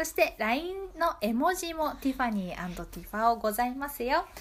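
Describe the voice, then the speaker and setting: This woman talks at a moderate pace in a high pitch, her voice swinging very widely up and down. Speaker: community radio host. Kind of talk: casual radio talk show.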